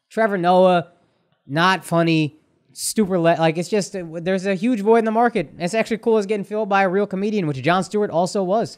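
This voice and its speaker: Pitched high, a man talks at a fairly quick pace. His pitch variation is ordinary, and the background is quiet. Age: 30s. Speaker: stand-up comedian and podcast co-host; podcast co-host. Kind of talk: casual chat. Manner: animated. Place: studio. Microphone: studio mic.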